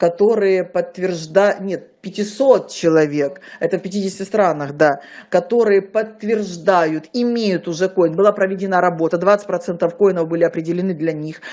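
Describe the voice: Her tone is slightly mellow, her pitch fairly low for a woman, with ordinary pitch variation. She keeps a moderate pace with few pauses.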